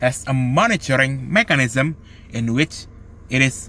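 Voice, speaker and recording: A man with an Indonesian accent talks fairly slowly, his medium-pitched voice bright and sharp with lively intonation. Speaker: law student. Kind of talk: student presentation. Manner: halting.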